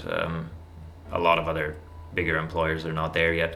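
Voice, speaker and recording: A speaker with a German accent talks at a moderate pace in a room with audible echo. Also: man. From Germany. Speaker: YouTuber on personal finance. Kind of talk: casual vlog monologue. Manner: halting, many fillers.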